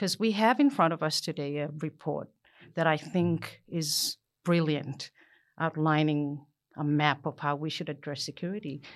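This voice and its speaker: In a very clean recording with a silent background, a woman talks at a moderate pace with a very deep, low pitch and ordinary pitch variation. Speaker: co-host. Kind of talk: casual panel discussion.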